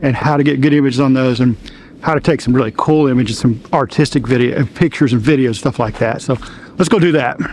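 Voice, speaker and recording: Speaking at a fairly quick pace, a man uses a fairly high pitch with ordinary pitch variation. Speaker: wildlife photographer. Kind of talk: tutorial. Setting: outdoors. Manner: fast; animated.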